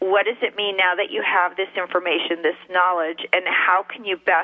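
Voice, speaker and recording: Against noticeable background noise, a woman speaks in a monotone, flat way at a medium pitch and moderate pace. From California, partly raised in Mexico. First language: Spanish. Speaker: marketing research specialist. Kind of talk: radio interview.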